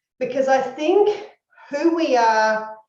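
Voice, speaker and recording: A woman with an Australian accent, plus audible room echo. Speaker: university educator, former speech pathologist. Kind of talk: lecture.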